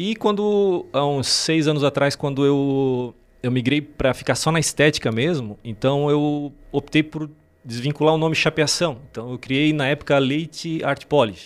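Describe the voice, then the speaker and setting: This man's voice sits fairly high, with ordinary pitch variation. He speaks at a fairly slow pace. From Santa Catarina, Brazil. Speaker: car detailing specialist and youtuber. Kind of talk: interview conversation. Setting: studio. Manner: halting.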